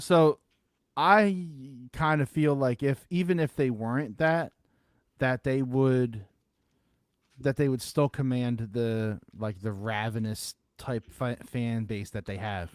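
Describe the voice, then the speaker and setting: A man in a Philadelphia accent at a very slow pace, with lively intonation and long, frequent pauses. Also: medium pitch for a man, dry, close sound with no echo. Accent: Delco Philadelphia. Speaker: sports podcast co-host. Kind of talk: casual chat.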